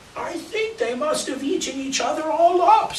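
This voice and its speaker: Someone speaks in a put-on character voice at a high pitch. The pace is moderate, and background noise is clear. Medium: read story.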